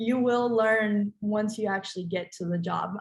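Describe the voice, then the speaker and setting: A woman is speaking at a medium pitch. There is some breathiness to her voice. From Colombia, schooled in the United States. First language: Spanish. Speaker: recent graduate, panelist. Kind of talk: panel discussion. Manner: hesitant, many fillers.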